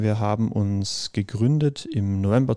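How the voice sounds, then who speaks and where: In a very clean recording with a silent background, a man speaks at a medium pitch with a dark, mellow tone and ordinary pitch variation. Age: 20s. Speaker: podcast host, adult education student. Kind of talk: casual chat.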